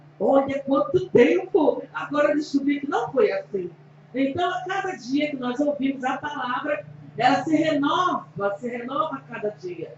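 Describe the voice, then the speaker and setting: Lively in intonation, a woman with a high pitch speaks at a fairly slow pace. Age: 60s. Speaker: church member introducing the preacher. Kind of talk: testimony; introduction.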